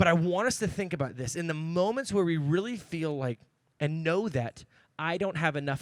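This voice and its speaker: A man's fairly high voice, animated in tone and lively in intonation, on a very clean recording with a silent background. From Oregon, US. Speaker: youth pastor. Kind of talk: sermon. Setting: church with audience. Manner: fast.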